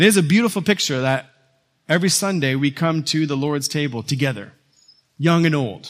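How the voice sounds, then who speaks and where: Fairly high in pitch and lively in intonation, the man talks fairly quickly in an unremarkable speaking voice. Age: 40s. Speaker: pastor. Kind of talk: sermon. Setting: church.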